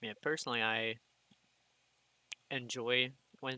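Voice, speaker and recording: Here a man with an American accent speaks at a medium pitch. His tone is bright and sharp, his intonation monotone and flat. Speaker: gaming youtuber. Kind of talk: casual gameplay commentary. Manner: rambling with pauses.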